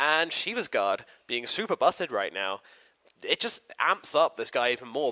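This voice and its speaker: The voice has an energetic tone and a British accent. Its pace is fairly quick. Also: man, dry, close sound with no echo. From Britain. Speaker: esports commentator. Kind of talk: live commentary. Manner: casual, energetic.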